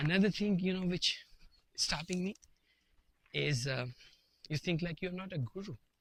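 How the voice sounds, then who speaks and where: A man with a non-native accent speaks in a bright, sharp tone with lively intonation, in a dry, close sound with no echo. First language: not English. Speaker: vlogger. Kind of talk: casual monologue to camera. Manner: halting, with fillers and repetitions.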